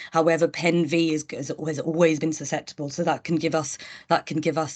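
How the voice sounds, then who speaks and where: A woman's very deep, low voice at a fairly quick pace, against a quiet background. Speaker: health professional. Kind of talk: online meeting discussion. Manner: halting.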